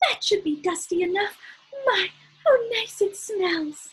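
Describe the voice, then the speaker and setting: This is a squeaky, put-on character voice with lively intonation. The pace is fairly slow. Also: woman, extremely high pitch for a woman. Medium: read story. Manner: folksy, earnest.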